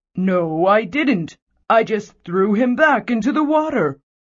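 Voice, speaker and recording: A put-on character voice, fairly high in pitch, delivers its lines at a fairly slow pace. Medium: read story. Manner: gentle, meek.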